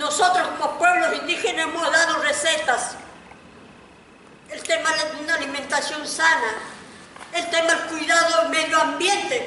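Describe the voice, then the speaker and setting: A raised, projected voice comes through at a moderate pace, with audible room echo and noticeable background noise. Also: woman. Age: 50s. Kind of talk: audience comment.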